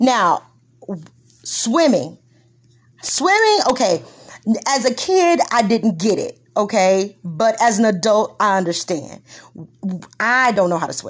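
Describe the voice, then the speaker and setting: In a Texas accent, a woman with a fairly high pitch talks at a very slow pace, her pitch swinging very widely between long, frequent pauses. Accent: Texas Southern. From Texas, Corpus Christi. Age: 40s. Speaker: podcast host. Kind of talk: casual chat.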